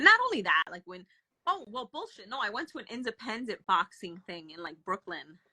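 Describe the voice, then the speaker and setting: A woman's fairly high voice with very wide pitch swings and a New Jersey accent, dry and close with no echo. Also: fairly quick pace, big swings in loudness. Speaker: wrestling podcast guest. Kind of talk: casual chat. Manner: animated.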